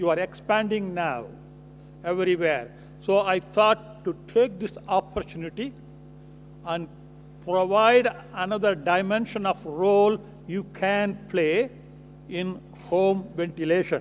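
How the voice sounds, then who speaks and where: Pausing long and often, a man speaks at a high pitch and a fairly slow pace with ordinary pitch variation. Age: 70s. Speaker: physician. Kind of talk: lecture.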